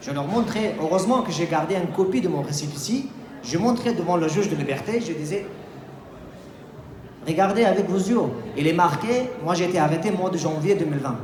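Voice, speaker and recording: A man's high voice with lively intonation, a fairly quick pace, long, frequent pauses and noticeable background noise. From Afghanistan. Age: 20s. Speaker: sociology student and political refugee. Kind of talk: festival talk, personal testimony.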